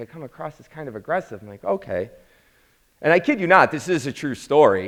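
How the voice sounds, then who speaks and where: A man with an American accent speaks at a moderate pace in an animated tone with vocal fry. His fairly high pitch swings very widely. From Chicago South Side, US. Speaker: program founder and instructor. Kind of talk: motivational talk to audience. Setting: live event with audience. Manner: animated storytelling.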